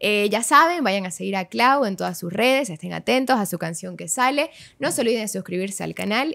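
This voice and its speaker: With vocal fry and hardly any pauses, a woman talks at a fairly quick pace against a quiet background. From Bolivia. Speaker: podcast host. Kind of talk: casual chat. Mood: warm, friendly. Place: studio. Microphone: studio mic.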